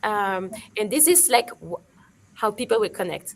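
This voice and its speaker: Her pitch fairly high and her intonation lively, a woman speaks at a moderate pace. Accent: French. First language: French. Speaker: digital marketing expert. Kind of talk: webinar panel discussion. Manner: halting, many fillers.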